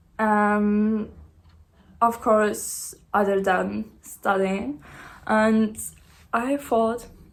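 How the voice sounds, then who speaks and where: The speaker has a non-native accent and a very slow pace. Long, frequent pauses break up the speech. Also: woman, fairly high pitch for a woman. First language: not English. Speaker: small business owner, vlogger. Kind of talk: casual vlog. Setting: sitting on living room floor. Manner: hesitant, many fillers.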